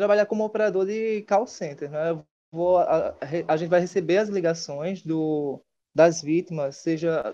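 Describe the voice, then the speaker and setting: The pitch of this man's voice is high, and his tone is dark and mellow. He speaks at a fairly slow pace with ordinary pitch variation. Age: 20s. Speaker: former student, new intern; interview guest. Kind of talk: interview. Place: home room. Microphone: earbuds.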